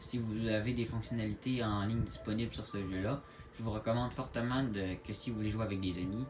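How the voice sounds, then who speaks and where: A man with a strong Quebec accent, medium pitch and ordinary pitch variation, with music in the background. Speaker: gaming YouTuber. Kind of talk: gaming tutorial. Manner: hesitant, many fillers; casual.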